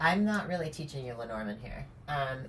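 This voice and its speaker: Mumbling at a moderate pace, a woman speaks with audible room echo. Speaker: tarot and oracle card reader. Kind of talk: card reading monologue. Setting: at home on camera. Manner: casual, hesitant with many fillers.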